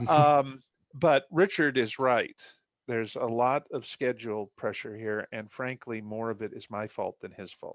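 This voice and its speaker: In a plain, everyday voice, a man speaks fairly slowly at a medium pitch with ordinary pitch variation and big swings in loudness, the sound dry and close with no echo over a quiet background. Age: 60s. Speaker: novelist. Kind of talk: casual chat.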